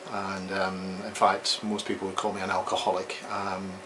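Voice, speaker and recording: A man's voice carries audible room echo amid noticeable background noise. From Scotland. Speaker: psychologist. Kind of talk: interview. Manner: hesitant, frequent ums.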